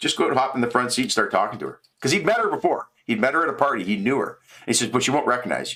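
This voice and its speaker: This man speaks with a Canadian accent. His pace is very fast. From Canada. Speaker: live streamer. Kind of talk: casual storytelling on live stream. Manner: rambling with repetitions and false starts.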